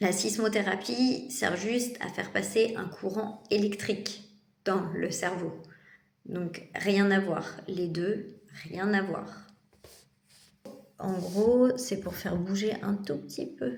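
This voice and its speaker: Speaking very slowly with long, frequent pauses, a woman uses a medium pitch with ordinary variation. Audible room echo surrounds her voice. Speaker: vlogger and psychiatric patient. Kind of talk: casual vlog monologue. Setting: in a psychiatric clinic.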